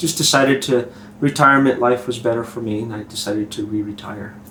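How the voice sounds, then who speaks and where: Over noticeable background noise, a man talks very fast at a medium pitch, with ordinary pitch variation and big swings in loudness. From southern New Mexico. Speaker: retired police chief. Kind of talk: interview.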